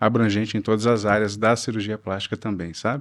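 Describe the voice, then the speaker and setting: The speaker is a man at a medium pitch. He talks at a fairly quick pace. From Brazil, Northeast (Natal, Rio Grande do Norte). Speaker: plastic surgeon. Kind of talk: interview. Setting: studio.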